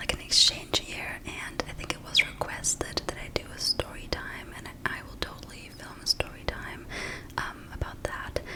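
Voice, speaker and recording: Someone whispers at a moderate pace, with big swings in loudness. Noticeable background noise runs underneath. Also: woman. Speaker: ASMR creator. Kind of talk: casual talk to camera, ramble. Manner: whispered, soft-spoken.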